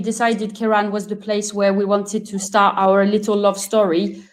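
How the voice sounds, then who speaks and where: A woman is speaking. She has a French accent. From France. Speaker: wine product manager. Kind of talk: webinar interview.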